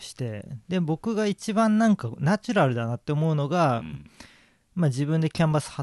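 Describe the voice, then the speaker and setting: The speaker has a plain, everyday voice with lively intonation. The sound is dry and close, without any echo. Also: man, quiet background. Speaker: painter. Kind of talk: interview.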